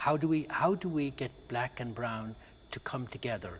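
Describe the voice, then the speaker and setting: A somewhat breathy man with an Irish accent, medium in pitch, at a moderate pace with ordinary pitch variation. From rural Ireland. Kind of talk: interview.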